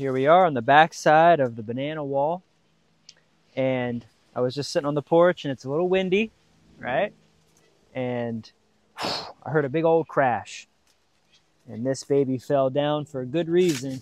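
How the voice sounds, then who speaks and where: The man's delivery is moderate in pace, with ordinary pitch variation. Long, frequent pauses break his speech, and the sound is dry with no echo. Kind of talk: casual vlog chat. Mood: amazed, exclaiming. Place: farm machine.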